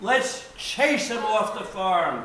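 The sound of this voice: In a put-on character voice with a bright, sharp tone, big pitch swings and a slow pace, the speech rings with strong room echo. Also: man, high pitch for a man.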